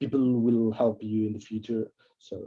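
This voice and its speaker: A man with a non-native accent, moderate in pace. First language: not English. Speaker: game book author. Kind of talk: interview. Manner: halting, many repetitions.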